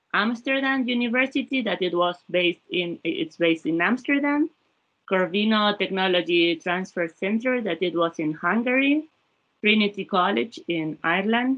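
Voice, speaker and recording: Speaking in a Spanish accent at a moderate pace, a woman has a medium pitch and lively intonation. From Spain. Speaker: former research fellow, labor economist. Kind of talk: panel talk about experience. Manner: halting, many repetitions.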